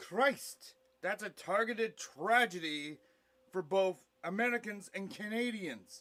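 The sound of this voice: Using a put-on character voice, a man speaks slowly in a high, fairly bright voice with lively intonation.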